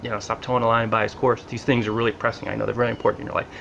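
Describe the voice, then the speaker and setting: Noticeable background noise accompanies a man speaking with a New Jersey accent. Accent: mild New Jersey. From Central New Jersey, US. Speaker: blogger. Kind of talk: casual vlog monologue. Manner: casual, conversational.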